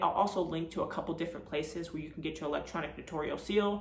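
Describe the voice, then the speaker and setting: There is audible room echo and noticeable background noise behind this woman's voice. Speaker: notary and video creator. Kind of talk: tutorial. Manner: fast.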